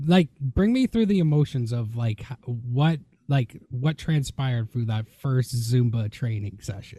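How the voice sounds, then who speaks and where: In a dry, close recording with no echo and a quiet background, a man speaks at a fairly slow pace, his somewhat breathy voice dark and mellow with ordinary pitch variation. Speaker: podcast host and wrestler. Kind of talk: casual interview.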